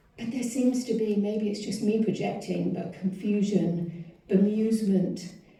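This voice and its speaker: A woman with an American accent, medium-pitched, somewhat breathy, with a dark, mellow tone, fairly slow pacing, fairly even intonation and audible room echo. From outside the US. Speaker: public commenter. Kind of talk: public comment at council meeting. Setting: city council meeting. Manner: reading from a script.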